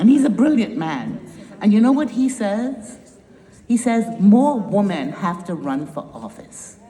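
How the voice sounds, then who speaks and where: Noticeable background noise and audible room echo around a woman with a slight Trinidadian accent, very wide pitch swings and big swings in loudness. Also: fairly high pitch for a woman. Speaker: nonprofit founder and climate educator. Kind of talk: conference speech. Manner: animated.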